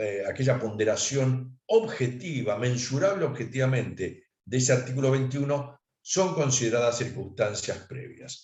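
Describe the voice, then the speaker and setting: A man speaks at a fairly slow pace with a medium pitch. His voice is somewhat breathy, with ordinary pitch variation. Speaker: accountant giving a talk. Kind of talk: lecture.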